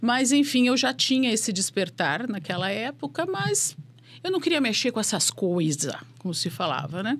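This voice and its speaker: A woman's voice, somewhat breathy, moves at a moderate pace while her pitch swings very widely. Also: medium pitch for a woman. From southern Brazil, Porto Alegre. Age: 50s. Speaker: spirituality mentor and business academic. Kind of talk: podcast interview.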